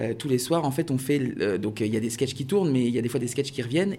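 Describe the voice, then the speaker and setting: Dark, mellow tone in a man's medium-pitched voice, its pitch varying in an ordinary way. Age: 30s. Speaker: comedian and dentist. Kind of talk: interview.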